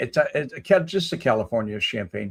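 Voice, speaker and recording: With a Chicago accent, a man speaks at a moderate pace. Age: 70s. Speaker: live-stream host, ex-Marine. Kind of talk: casual chat answering live comments. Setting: live stream.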